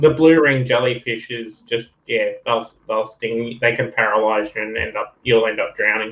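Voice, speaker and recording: A man's medium-pitched voice with an Australian accent and fairly even intonation. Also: moderate pace, hardly any pauses. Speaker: collecting channel host. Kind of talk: casual chat.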